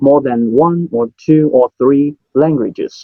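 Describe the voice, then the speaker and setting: The speech comes in a Cantonese accent at a very slow pace. Pitch varies in an ordinary way. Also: man. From Hong Kong. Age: 30s. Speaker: memory champion and business owner. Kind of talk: interview.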